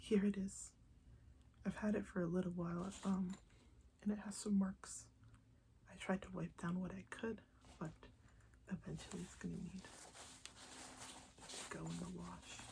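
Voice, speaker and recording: The speaker is soft-spoken, going at a moderate pace with long, frequent pauses. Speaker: ASMR creator. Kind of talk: soft-spoken ASMR talk to camera.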